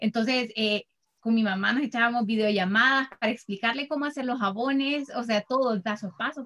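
A woman's fairly high voice in a Salvadoran accent, bright and sharp in tone, with a dry, close sound and no echo. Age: 30s. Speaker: soap maker and business founder. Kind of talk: interview.

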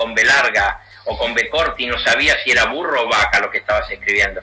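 A man with a Rioplatense accent talks at a fairly quick pace over music in the background. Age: 60s. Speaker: university dean and political figure. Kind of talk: radio interview. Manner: emphatic.

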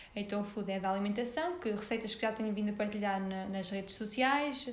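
A woman with a fairly high pitch is heard amid noticeable background noise and audible room echo. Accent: northern Portuguese. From Portugal, Sernancelha (Viseu district, interior north). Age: 20s. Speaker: young entrepreneur, marketing worker. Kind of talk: casual interview. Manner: halting, many fillers and repetitions.

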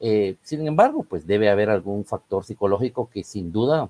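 A man speaks at a moderate pace with ordinary pitch variation. His tone is dark and mellow, with a dry, close sound and no echo. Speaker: football pundit. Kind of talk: casual chat.

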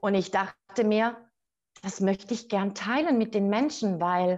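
Against a quiet background, a normal speaking voice moves at a fairly slow pace. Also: woman. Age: 40s. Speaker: author and business coach. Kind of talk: interview.

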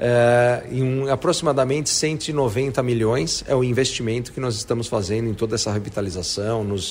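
Noticeable noise runs under a man speaking at a moderate speed, his pitch varying in an ordinary way. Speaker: real estate executive. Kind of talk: interview. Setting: on site at a construction project. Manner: enthusiastic.

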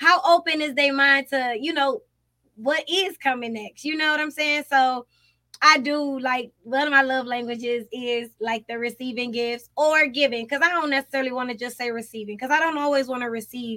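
A raised, projected voice with a bright, sharp tone, an animated delivery, ordinary pitch variation and a moderate pace. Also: woman, high pitch for a woman. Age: 30s. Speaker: podcast co-host. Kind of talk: casual chat.

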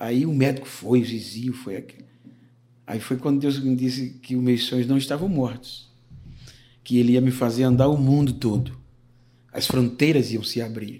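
A man with a dark, mellow tone speaks at a moderate pace in a medium pitch, with fairly even intonation and long, frequent pauses. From Alagoas, Brazil. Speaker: pastor. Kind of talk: casual interview, life testimony.

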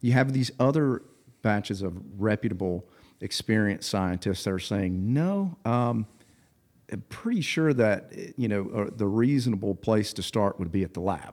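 Speaking at a moderate pace with ordinary pitch variation, a man with a fairly low pitch and an unremarkable speaking voice is heard in a very clean recording with a silent background. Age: 30s. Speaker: business executive and CrossFit athlete. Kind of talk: casual chat.

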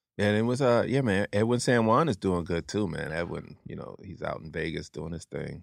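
In a normal speaking voice, a man with an American accent talks at a fairly quick pace with hardly any pauses, his fairly low-pitched voice showing lively intonation and big swings in loudness, on a very clean recording with a silent background and a dry, close sound with no echo. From New Jersey, Atlantic City. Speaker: stand-up comedian. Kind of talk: casual chat.

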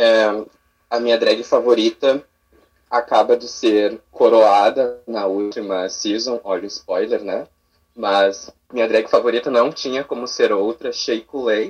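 At a fairly slow pace, a man talks with fairly even intonation at a medium pitch. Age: 20s. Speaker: drag performer. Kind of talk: casual chat. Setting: video call.

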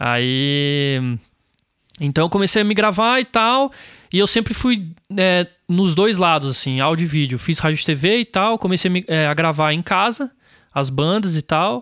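Heard in a very clean recording against a silent background, a man with a high pitch and a bright, sharp tone speaks fairly slowly with lively intonation, very even loudness and long, frequent pauses. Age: 20s. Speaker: music producer and studio owner. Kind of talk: casual interview.

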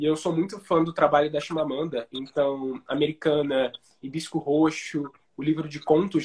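A man with a normal speaking voice talks at a moderate pace, his fairly high pitch held in fairly even intonation. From Brazil, Rio de Janeiro. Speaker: writer and screenwriter. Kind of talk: casual interview on a live stream. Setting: Instagram live video call.

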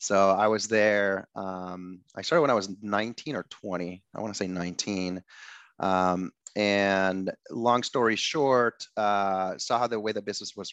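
A man's fairly low voice at a moderate pace, with fairly even intonation, a dry, close sound without echo, and a quiet background. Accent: Spanish. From Ecuador. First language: Spanish. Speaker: tech startup founder. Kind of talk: interview.

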